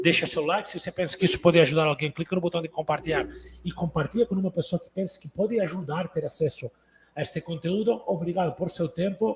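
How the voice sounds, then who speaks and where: Talking very fast with a high pitch and ordinary pitch variation, a man swings widely in loudness, the sound dry and close with no echo. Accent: Catalan. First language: Catalan (speaking Portuguese). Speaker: entrepreneur and business coach. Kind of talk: online business talk.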